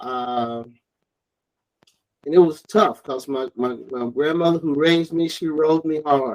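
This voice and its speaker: A man's fairly high voice with an American accent, fairly slow in pace, with ordinary pitch variation. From US South, Alabama (Mobile area). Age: 60s. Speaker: interviewee, father of the host. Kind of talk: casual interview.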